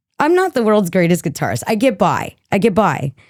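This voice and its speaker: Recorded very cleanly against a silent background, a woman speaks at a moderate pace with a dry, close sound and no echo. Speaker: singer-songwriter and guitarist. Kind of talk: casual interview. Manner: casual, with fillers.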